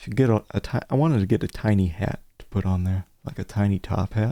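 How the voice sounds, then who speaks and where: On a very clean recording with a silent background, a man speaks at a moderate pace. His fairly low voice has a dark, mellow tone and ordinary pitch variation. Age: 30s. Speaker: video game streamer. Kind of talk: live gameplay commentary. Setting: live stream with webcam.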